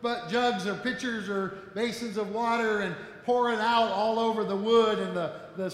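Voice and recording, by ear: The intonation stays fairly even as this person reads aloud in a natural voice.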